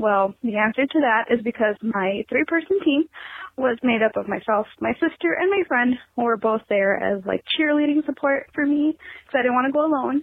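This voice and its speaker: With an American accent, a woman speaks in a high pitch with lively intonation. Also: moderate pace, very even loudness. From Illinois, US Midwest. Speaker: caller. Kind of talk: voicemail message. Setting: phone call.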